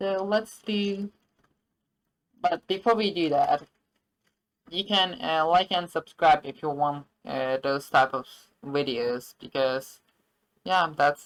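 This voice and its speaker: A woman with a non-native accent and fairly low pitch at a very slow pace, with long, frequent pauses and lively intonation. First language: not English. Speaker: game dev tutorial youtuber. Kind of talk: screen-recorded tutorial. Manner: halting, many fillers and self-corrections.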